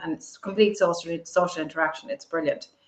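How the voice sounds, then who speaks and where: With an Irish accent, a woman speaks with ordinary pitch variation. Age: 50s. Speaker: entrepreneur and political commentator. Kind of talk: interview. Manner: articulate; halting.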